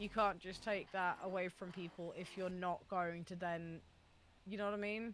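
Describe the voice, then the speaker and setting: A woman speaks at a moderate pace and medium pitch, her intonation monotone and flat. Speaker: streamer co-host. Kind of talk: casual chat. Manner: halting.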